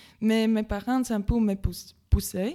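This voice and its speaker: A woman talks in a Latvian accent, her tone dark and mellow with ordinary pitch variation. The recording is very clean, with a silent background. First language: Latvian (speaking French). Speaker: volunteer. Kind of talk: radio interview. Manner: halting.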